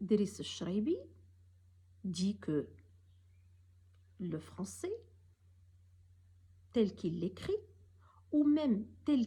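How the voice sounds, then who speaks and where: A woman's very slow speech with long, frequent pauses. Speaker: professor. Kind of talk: recorded talk. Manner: formal; some hesitations.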